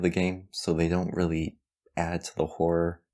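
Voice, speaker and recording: Dark and mellow in tone, the voice holds a monotone, flat intonation on a very clean recording with a silent background. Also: man. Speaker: video game reviewer. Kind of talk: scripted narration.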